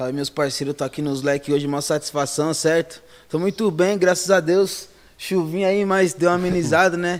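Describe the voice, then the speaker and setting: Here a man speaks with a high pitch at a moderate pace. His intonation stays fairly even. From São Paulo, Zona Norte (Brasilândia). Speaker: funk MC. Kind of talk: casual chat.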